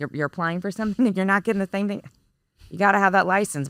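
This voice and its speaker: Vocal fry marks a woman's voice with an American accent in a very clean recording with a silent background and a dry, close sound with no echo. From Texas. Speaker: business executive. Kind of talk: podcast interview. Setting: recording studio.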